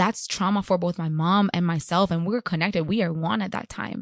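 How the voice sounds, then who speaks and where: A woman with a Spanish accent speaks on a very clean recording with a silent background. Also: dry, close sound with no echo. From Puerto Rico. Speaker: chiropractor. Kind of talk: interview.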